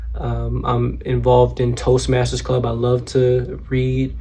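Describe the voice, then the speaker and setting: A man talks with audible echo from the room and noticeable noise in the background. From Georgia, US South. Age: 20s. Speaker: mortuary science student. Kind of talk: self-introduction for a class assignment. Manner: casual, with frequent fillers.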